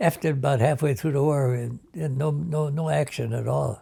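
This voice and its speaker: A man speaks at a fairly high pitch in a somewhat breathy voice, with ordinary pitch variation. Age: 80s+. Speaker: war veteran. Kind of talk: oral history interview. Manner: halting.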